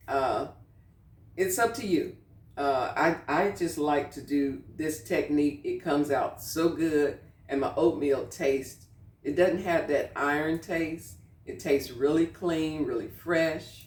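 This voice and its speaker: Very deep and low, a woman's voice moves at a fairly slow pace with ordinary pitch variation. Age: 60s. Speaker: cooking channel host. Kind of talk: casual cooking tutorial. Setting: home kitchen. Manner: conversational, with frequent fillers.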